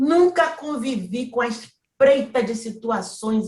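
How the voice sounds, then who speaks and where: A woman at a very slow pace, somewhat breathy, with lively intonation. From Brazilian Northeast. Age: 70s. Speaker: federal appellate judge. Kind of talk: autobiographical talk.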